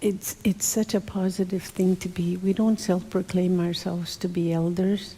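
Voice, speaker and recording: Somewhat breathy and dark, mellow in tone, a woman speaks at medium pitch in a monotone, flat intonation. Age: old. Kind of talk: interview conversation. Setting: church gathering.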